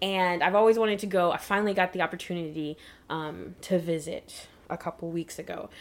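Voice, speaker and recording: A woman speaks at a fairly quick pace in a normal speaking voice with fairly low pitch, captured in a very clean recording with a silent background. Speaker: podcast host. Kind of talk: casual chat.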